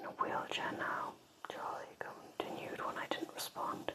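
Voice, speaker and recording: A whisper comes at a fairly slow pace, with noticeable background noise behind it. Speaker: ASMR creator. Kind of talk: ASMR book reading for sleep. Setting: quiet room with candle. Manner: soft-spoken.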